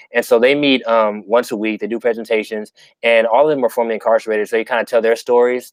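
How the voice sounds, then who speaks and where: A man at a medium pitch, very fast in pace, with monotone, flat intonation. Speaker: community organizer. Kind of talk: live Q&A interview. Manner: halting, many fillers and repeats.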